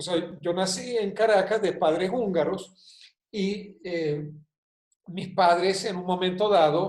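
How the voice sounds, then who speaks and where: A man with a high pitch and fairly even intonation talks at a very slow pace, with audible room echo around him. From Spain, with Hungarian family. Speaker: consultant and professor. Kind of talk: video call talk.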